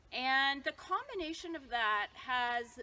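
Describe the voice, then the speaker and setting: A woman projects a raised voice, high in pitch, with a bright, sharp tone. Her pitch swings very widely. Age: 60s. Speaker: yoga therapist. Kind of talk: tutorial.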